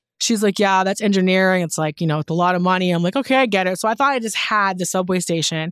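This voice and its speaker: A woman at a very fast pace, with hardly any pauses. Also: medium pitch for a woman, ordinary pitch variation. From Newfoundland, Canada. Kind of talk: casual interview chat. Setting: studio.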